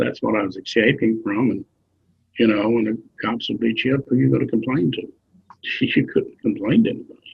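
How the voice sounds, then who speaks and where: With an American accent, a man talks at a fairly quick pace, broken by long, frequent pauses. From rural Tennessee. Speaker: activist and author. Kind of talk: interview answer.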